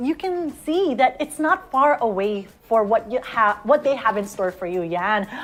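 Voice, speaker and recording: A woman's fairly high voice with very wide pitch swings, at a fairly slow pace. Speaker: online event host. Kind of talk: live web show hosting. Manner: animated.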